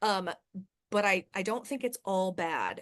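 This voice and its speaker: An unremarkable speaking voice moves at a fairly slow pace with ordinary pitch variation over a quiet background. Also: woman. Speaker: choir director and voice instructor. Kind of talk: lecture.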